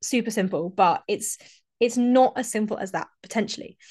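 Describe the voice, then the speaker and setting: With an English accent, a woman speaks at a fairly quick pace. Her voice is fairly high-pitched against a quiet background. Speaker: fitness coach and podcast host. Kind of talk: solo podcast monologue.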